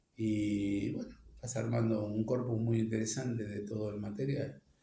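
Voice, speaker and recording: Audible room echo fills the space. A man talks at medium pitch and a fairly slow pace. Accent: Rioplatense. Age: 70s. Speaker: archivist and researcher. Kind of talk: interview. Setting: at home. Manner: hesitant, many fillers.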